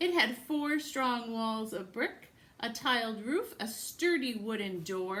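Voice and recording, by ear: Someone reads aloud in a natural voice, the intonation rising and falling in a lively way.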